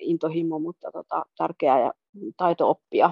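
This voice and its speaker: The sound is dry and close with no echo. A woman speaks at a fairly low pitch and a fairly slow pace. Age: 40s. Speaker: journalist and amateur swimmer. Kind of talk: casual interview.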